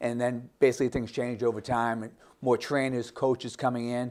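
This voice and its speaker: A man's medium-pitched voice at a very fast pace, monotone and flat, in a very clean recording over a silent background. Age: 60s. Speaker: gym owner. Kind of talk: interview.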